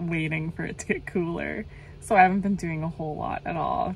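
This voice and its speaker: Monotone, flat intonation in a dry sound with no echo, over light background noise. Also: woman. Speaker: van life vlogger. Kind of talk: casual vlog chat. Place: car. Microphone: phone near.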